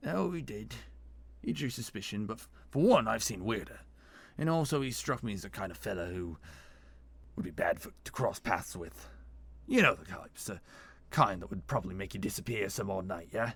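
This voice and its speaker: In a put-on character voice, a raspy man speaks at a fairly low pitch and a fairly quick pace, with very wide pitch swings, big swings in loudness and long, frequent pauses, in a very clean recording with a silent background. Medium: read story. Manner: casual, plain-spoken.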